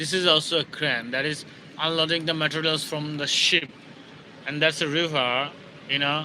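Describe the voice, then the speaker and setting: A man with a Bangladeshi accent talks fairly slowly in a fairly high, monotone, flat voice, with noticeable background noise behind him. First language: Bengali. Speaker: security guard and English learner. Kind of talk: casual live stream chat. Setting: outdoors by a river. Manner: halting, many fillers.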